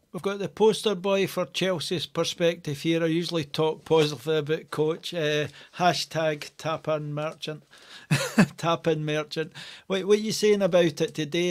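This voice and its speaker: Over a quiet background, the voice moves at a moderate pace with fairly even intonation. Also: man. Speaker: fan podcast host. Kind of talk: casual podcast banter. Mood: jovial, laughing. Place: home room. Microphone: headset.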